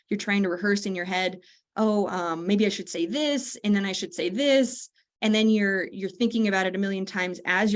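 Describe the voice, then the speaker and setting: In a quiet background, a woman speaks at a medium pitch with ordinary pitch variation. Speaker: networking webinar presenter. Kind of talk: webinar presentation. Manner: fast; animated.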